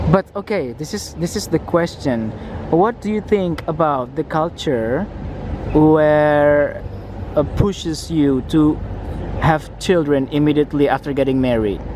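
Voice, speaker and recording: Noticeable background noise sits behind the voice. The speaker talks at a fairly slow pace with an Indonesian accent. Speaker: vlogger. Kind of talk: casual chat. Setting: outdoors.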